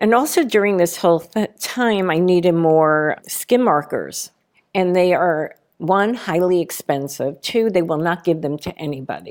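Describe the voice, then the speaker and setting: The recording is very clean, with a silent background. A woman with an unremarkable speaking voice talks at a moderate pace with ordinary pitch variation. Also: fairly low pitch for a woman. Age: 60s. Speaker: conceptual artist. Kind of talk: interview conversation.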